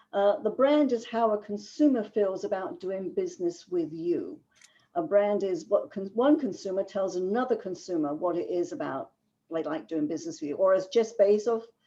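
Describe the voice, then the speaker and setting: Speaking with a London accent, a woman has a dark, mellow tone at medium pitch, and her pitch swings very widely. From England, London. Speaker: business writing consultant. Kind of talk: webinar lecture. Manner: fast.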